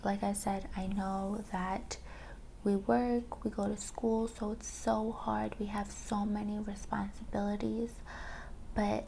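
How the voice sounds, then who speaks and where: The speaker is soft-spoken. The delivery is very slow. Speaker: ASMR creator. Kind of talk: soft-spoken ASMR chat. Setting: mini microphone.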